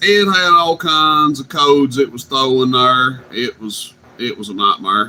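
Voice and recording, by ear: With a bright, sharp tone, a man speaks at a fairly slow pace and with ordinary pitch variation. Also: medium pitch for a man.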